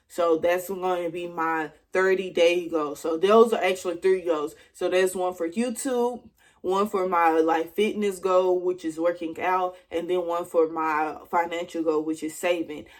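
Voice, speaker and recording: Her pitch is fairly low, and her intonation is fairly even. The woman speaks at a fairly slow pace with hardly any pauses. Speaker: YouTuber. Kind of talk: casual vlog. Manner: casual, laid-back.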